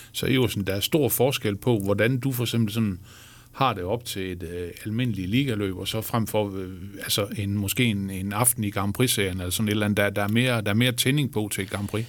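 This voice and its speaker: Fairly low in pitch for a man, the speaker has a normal speaking voice and fairly even intonation. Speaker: sports journalist and podcast host. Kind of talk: interview. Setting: studio.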